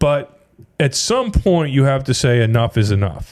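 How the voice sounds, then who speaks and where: At a moderate pace and medium pitch, a man talks in an unremarkable speaking voice. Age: 60s. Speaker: financial advisor. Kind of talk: casual podcast chat. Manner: conversational, with false starts.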